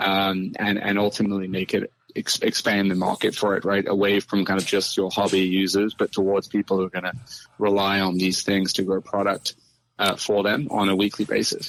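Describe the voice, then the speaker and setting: A man with a British accent talks at a fairly quick pace in a fairly low voice. His intonation is monotone and flat, and his loudness stays very even. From UK. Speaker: farming tech co-founder. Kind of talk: interview.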